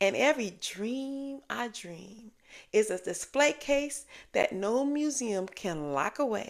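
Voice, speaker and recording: At a very slow pace, a woman's fairly high voice moves through very wide pitch swings. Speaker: spoken word poet. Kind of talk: spoken word poetry performance.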